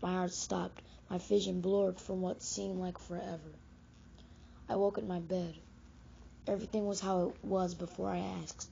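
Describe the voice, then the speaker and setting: Using a put-on character voice, a woman sounds raspy as she speaks at a moderate pace. She takes long, frequent pauses. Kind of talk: horror narration. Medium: read story. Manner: fragmented, somber.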